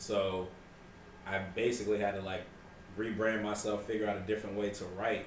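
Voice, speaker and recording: Over noticeable background noise and audible room echo, a man with an American accent speaks at a fairly quick pace with long, frequent pauses, fairly low pitch and monotone, flat intonation. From rural US (country). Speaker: rapper. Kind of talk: casual interview chat.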